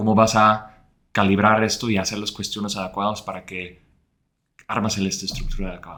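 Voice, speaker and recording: A man speaks fairly quickly with a bright, sharp tone and monotone, flat intonation. His loudness swings widely. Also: fairly low pitch for a man. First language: Dutch (speaking Spanish). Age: 30s. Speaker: former head of growth. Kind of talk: interview. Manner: halting.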